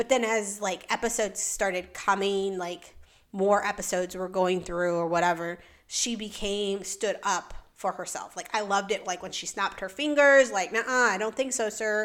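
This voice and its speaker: A plain, everyday voice from a woman at medium pitch, moderate in pace with ordinary pitch variation, on a very clean recording with a silent background. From United States, Mexican-American. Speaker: podcast host. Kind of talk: casual solo chat about a TV series. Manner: conversational, many fillers.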